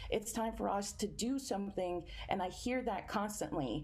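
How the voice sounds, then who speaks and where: There is audible room echo around a woman's voice of medium pitch, dark and mellow with vocal fry. She moves at a moderate pace with ordinary pitch variation. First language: Spanish. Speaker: environmental justice activist. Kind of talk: panel discussion.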